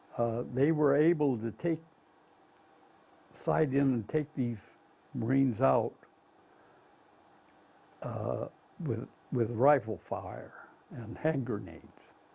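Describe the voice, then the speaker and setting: With an American accent and a medium pitch, a man talks at a very slow pace, leaving long, frequent pauses. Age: 80s+. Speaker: war veteran. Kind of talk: interview answer. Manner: hesitant, with frequent fillers.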